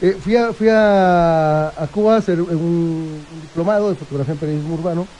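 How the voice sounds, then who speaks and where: Here a man with an unremarkable speaking voice talks at a fairly high pitch and a moderate pace, with ordinary pitch variation. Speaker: photographer and agency director. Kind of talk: radio interview.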